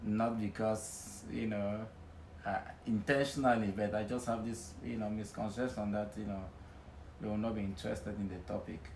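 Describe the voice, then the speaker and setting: At a moderate pace, a man with a fairly low pitch speaks in fairly even intonation amid audible room echo. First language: Nwen. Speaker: interviewee. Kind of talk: casual interview.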